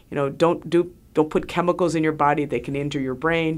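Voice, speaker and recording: A woman's very deep, low voice with vocal fry at a moderate pace. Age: 60s. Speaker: radio host and physician. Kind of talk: radio talk show monologue and interview. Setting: studio.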